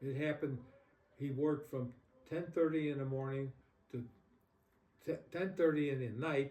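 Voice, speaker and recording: Fairly high for a man, this somewhat breathy voice has a dark, mellow tone, fairly even intonation and a moderate pace. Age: 80s+. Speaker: elderly interviewee. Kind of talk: interview. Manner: halting.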